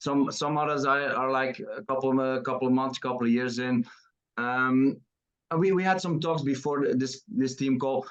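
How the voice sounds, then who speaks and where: A Dutch accent at a moderate pace. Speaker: team leader hosting call. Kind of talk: interview. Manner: halting.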